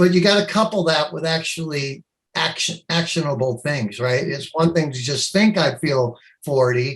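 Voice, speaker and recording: A somewhat breathy man's voice, fairly high in pitch, with ordinary pitch variation at a moderate pace. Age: 60s. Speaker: company CEO and inventor. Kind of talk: interview.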